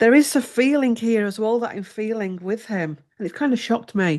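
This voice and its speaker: This woman has a fairly high voice and speaks with an English accent. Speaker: tarot reader. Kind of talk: tarot reading.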